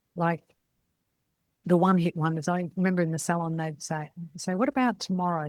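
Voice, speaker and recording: Speaking fairly quickly with an Australian accent, a woman sounds somewhat breathy. The sound is dry and close with no echo, on a very clean recording with a silent background. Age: 60s. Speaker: podcast host, salon business mentor. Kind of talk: casual monologue podcast. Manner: animated.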